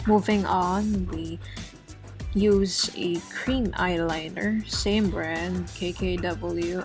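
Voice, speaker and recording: Music is heard in the background. Over it, a woman talks. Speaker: beauty vlogger. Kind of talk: makeup tutorial talk to camera. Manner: casual.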